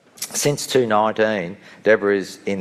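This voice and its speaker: A man talks with an Australian accent and ordinary pitch variation. Noticeable background noise runs beneath him. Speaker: session moderator. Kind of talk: speaker introduction.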